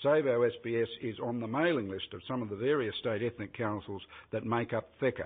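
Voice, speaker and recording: With an Australian accent, a man speaks at a fairly quick pace. His pitch is medium, with ordinary pitch variation. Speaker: advocacy group representative. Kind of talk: formal opening statement at hearing. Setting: parliamentary committee hearing. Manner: fast.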